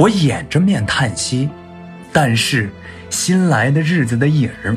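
Over music in the background, a man speaks at a very slow pace in a medium pitch, his pitch swinging very widely. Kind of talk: sleep poetry reading. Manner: soft, slow, intimate.

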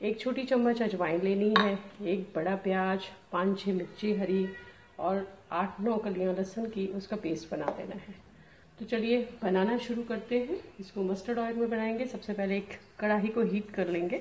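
A woman speaks at a fairly slow pace with fairly even intonation. Light background noise can be heard. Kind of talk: tutorial. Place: kitchen. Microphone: phone near.

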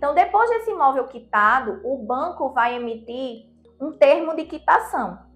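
Faint music plays behind a woman whose pitch is high. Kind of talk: explainer to camera. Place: office. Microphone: lapel.

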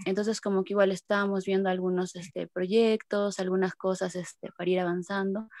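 In a dry recording with no echo and a quiet background, a woman speaks at a fairly quick pace in a monotone, flat intonation with hardly any pauses. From Peru. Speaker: archaeologist and feminist activist. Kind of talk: participant introduction. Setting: video call. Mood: reflective, somewhat hesitant. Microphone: video call.

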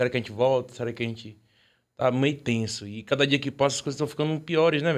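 A very fast pace with ordinary pitch variation, in a very clean recording with a silent background. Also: man. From small town in Bahia, Brazil. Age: 20s. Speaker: music producer and musician. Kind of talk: casual chat.

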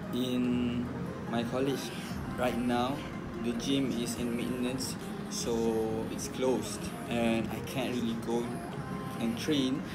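Music plays in the background as the speech moves at a very slow pace. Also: man. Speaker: fitness vlogger. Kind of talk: casual vlog chat. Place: home room. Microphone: phone near.

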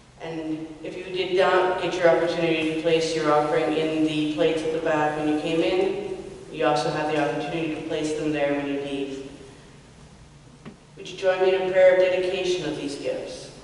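Fairly even intonation and a slightly mellow tone, set in strong room echo. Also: woman, low pitch for a woman, moderate pace.

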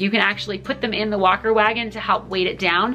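Faint music plays in the background. A woman speaks over it. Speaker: parenting educator. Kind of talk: tutorial. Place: home room.

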